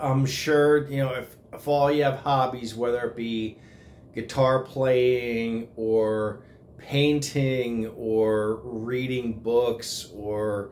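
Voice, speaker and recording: A man speaks at a very slow pace. His intonation is fairly even. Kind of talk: casual vlog chat. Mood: grateful, sentimental. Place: home room. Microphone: phone near.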